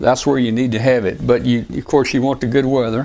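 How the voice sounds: A man talks with a Southern US accent.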